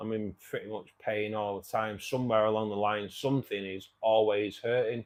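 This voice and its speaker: A man speaks in a flat monotone with a fairly low pitch. He barely pauses at all. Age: 50s. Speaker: aquarium hobbyist YouTuber. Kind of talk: livestream Q&A chat. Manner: slow; halting.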